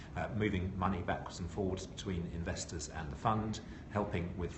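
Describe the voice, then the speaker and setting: The speech moves at a moderate pace with ordinary pitch variation, and noticeable background noise runs underneath. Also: man. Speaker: CEO of private equity outsourcing firm, former accounting firm boss. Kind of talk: interview answer.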